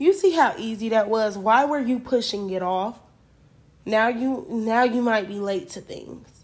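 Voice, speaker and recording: At a fairly slow pace, a woman speaks in a fairly high pitch with lively intonation and an animated tone. The recording is very clean, with a silent background. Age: 20s. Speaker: podcast host. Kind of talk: casual solo monologue. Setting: at home late at night.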